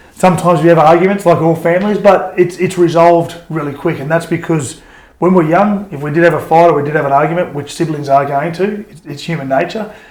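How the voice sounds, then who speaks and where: Talking at a very fast pace in an Australian accent, a man with a high pitch keeps his intonation fairly even while his loudness swings a lot, and the room echo is audible. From Queensland, Australia (Toowoomba). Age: 40s. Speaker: former rugby league player. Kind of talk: interview. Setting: podcast. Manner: halting, many fillers and restarts.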